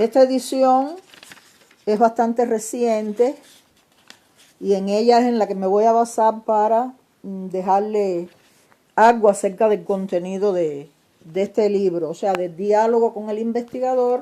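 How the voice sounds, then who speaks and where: Speaking at a fairly slow pace, a woman leaves long, frequent pauses. Her pitch is fairly high, with ordinary pitch variation. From Cuba, Pinar del Río. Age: 60s. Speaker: novelist. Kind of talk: casual video monologue. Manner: halting, many fillers.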